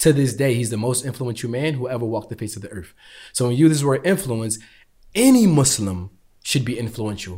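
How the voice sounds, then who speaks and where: Very clean and silent in the background, the recording captures a man with a dark, mellow tone, medium pitch and somewhat breathy voice speaking at a fairly quick pace. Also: ordinary pitch variation. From US. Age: 20s. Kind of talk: interview conversation.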